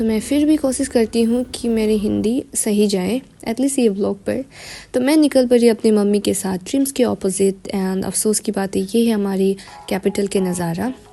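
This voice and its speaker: With an Arunachal accent, a woman speaks at a fairly high pitch and a moderate pace over a quiet background. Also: ordinary pitch variation. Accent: Arunachal Hindi. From Arunachal Pradesh, India. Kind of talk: casual vlog voice-over. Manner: careful, effortful Hindi.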